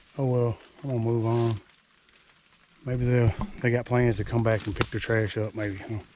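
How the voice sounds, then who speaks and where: At a moderate pace, a man with an American accent speaks at medium pitch in a monotone, flat intonation, with long, frequent pauses and noticeable background noise. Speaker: hunter, outdoor vlogger. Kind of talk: outdoor vlog narration. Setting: outdoors in the woods. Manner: casual, conversational; whispering at times.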